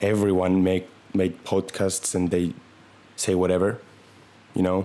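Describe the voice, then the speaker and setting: In a non-native accent, a man with a very deep, low pitch speaks at a fairly slow pace with monotone, flat intonation. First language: not English. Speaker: comedy podcaster. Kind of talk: comedic monologue. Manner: halting; deadpan.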